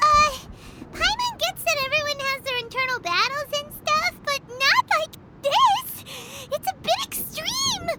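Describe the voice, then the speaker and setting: A put-on character voice, female-sounding and extremely high-pitched, at a fairly slow pace over light background noise. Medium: fan dub. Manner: chatty, hesitant, refers to self in third person.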